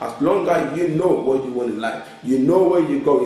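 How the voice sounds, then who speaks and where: With a strong Ghanaian accent, a man speaks at a moderate pace in a fairly high voice, animated in tone and lively in intonation, with audible room echo and music in the background. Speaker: author and life coach. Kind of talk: motivational talk show interview. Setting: TV studio. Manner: animated, emphatic.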